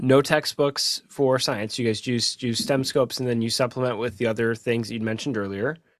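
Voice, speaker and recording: A man's plain, everyday voice at medium pitch, fairly quick with hardly any pauses and fairly even intonation. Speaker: co-host, school superintendent. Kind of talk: interview chat.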